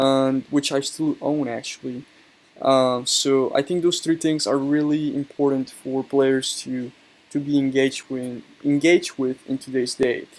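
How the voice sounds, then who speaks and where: With a strong Colombian accent, a man speaks fairly slowly at a fairly high pitch in a monotone, flat delivery. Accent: heavy Colombian Spanish. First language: Spanish. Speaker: YouTuber, card game player. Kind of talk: casual monologue video. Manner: hesitant, many fillers.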